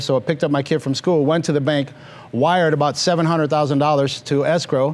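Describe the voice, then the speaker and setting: A man with a Mexican accent talks at a very fast pace and a fairly high pitch. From Mexico, moved to Los Angeles area at five. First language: Spanish. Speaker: financial services business leader. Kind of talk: interview on stage.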